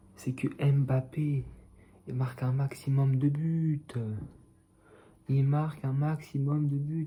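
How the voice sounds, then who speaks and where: A soft-spoken man with a fairly high pitch speaks at a very slow pace in a flat monotone, his dark, mellow tone somewhat breathy and broken by long, frequent pauses. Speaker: football fan youtuber. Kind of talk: casual vlog commentary.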